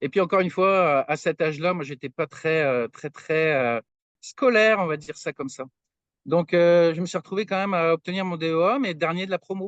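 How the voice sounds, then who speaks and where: The speaker is a man with a high pitch and a fairly quick pace. The sound is dry and close with no echo, against a quiet background. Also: ordinary pitch variation. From France, Brittany (Brest). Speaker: materials science researcher. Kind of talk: podcast interview. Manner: hesitant, many fillers.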